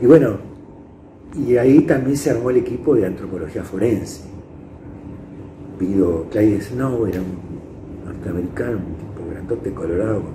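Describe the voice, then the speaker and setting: A man with a Rioplatense accent speaks at a moderate pace in a fairly low voice, his loudness swinging widely, with long, frequent pauses and audible room echo. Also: lively intonation. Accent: Argentine Rioplatense Spanish. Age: 70s. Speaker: psychologist. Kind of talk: interview testimony. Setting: indoors interview. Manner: halting.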